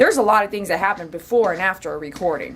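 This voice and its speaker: A woman speaks with lively intonation. Her tone is animated. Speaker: dog groomer. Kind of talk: casual vlog talk. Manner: fast.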